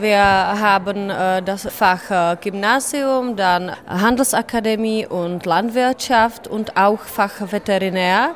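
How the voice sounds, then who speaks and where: With a Czech accent, a woman speaks at a very slow pace. Her pitch is medium, with ordinary pitch variation. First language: Czech (speaking German). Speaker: secondary school teacher. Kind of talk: interview.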